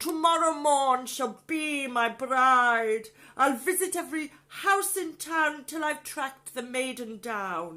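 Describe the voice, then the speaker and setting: A put-on character voice with a female sound and a high pitch. It moves at a fairly slow pace. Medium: read story. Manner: pompous, shouting.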